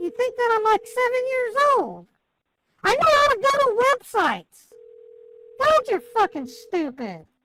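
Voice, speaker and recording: A squeaky, shouted put-on character voice with lively intonation at a moderate pace. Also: woman, extremely high pitch for a woman. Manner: yelling angrily.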